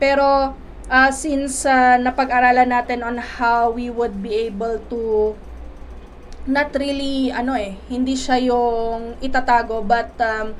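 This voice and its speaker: A woman's high-pitched voice at a very slow pace, monotone and flat in intonation, with audible room echo. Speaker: life coach and teacher. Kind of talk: motivational talk. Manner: halting, many fillers.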